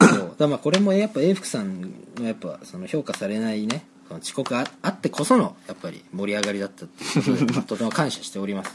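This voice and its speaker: A man talks at a very fast pace and a medium pitch, with very wide pitch swings. Noticeable background noise runs underneath. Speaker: student podcast co-host. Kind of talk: casual chat.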